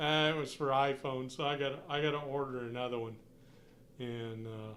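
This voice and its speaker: This man speaks at a moderate pace with fairly even intonation. Room echo is audible in the recording. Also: medium pitch for a man. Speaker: hobbyist live streamer. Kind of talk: casual live stream chat. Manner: loud; halting.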